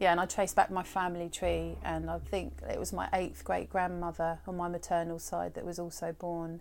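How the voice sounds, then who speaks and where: With a southern English accent, a woman speaks at a moderate pace with hardly any pauses. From Brighton, southern England. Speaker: holistic therapist. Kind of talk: interview conversation. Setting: her garden work studio. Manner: hesitant, many fillers.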